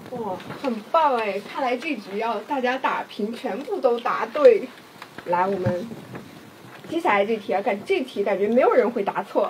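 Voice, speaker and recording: A woman's fairly high, animated voice with lively intonation at a moderate pace, over light background noise. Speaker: livestream host. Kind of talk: hosting a promotional live stream. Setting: live stream studio. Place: studio.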